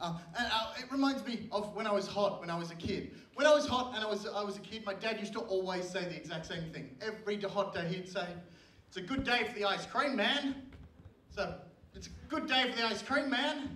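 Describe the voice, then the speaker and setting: A man's raised, projected voice, high in pitch with ordinary pitch variation, at a fairly quick pace, with noticeable background noise and audible room echo. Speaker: stand-up comedian. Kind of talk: stand-up. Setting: stage with audience. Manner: halting.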